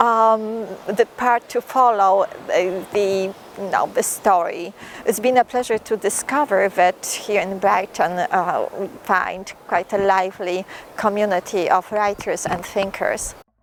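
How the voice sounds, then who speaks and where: A woman's medium-pitched voice at a fairly slow pace, with fairly even intonation and noticeable background noise. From Poland. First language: Polish. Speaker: poet and writer. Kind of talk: interview talk. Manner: halting, with fillers and restarts.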